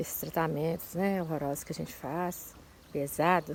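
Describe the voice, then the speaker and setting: A woman with a very deep, low pitch speaks in a monotone, flat intonation. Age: 60s. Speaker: breast cancer survivor giving testimony. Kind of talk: testimony.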